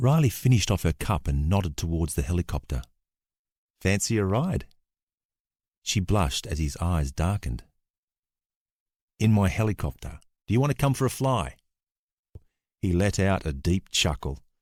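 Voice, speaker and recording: A man with an Australian accent speaks at a very deep, low pitch with very wide pitch swings, very even loudness and long, frequent pauses. The recording is very clean, with a silent background. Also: moderate pace. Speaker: actor. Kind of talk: audiobook narration.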